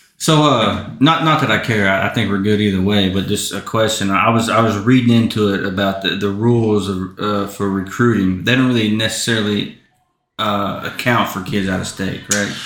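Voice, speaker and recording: In an American accent, the speaker uses a normal speaking voice at a moderate pace with ordinary pitch variation. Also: man, fairly low pitch for a man. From Southeast Oklahoma. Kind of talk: casual podcast interview.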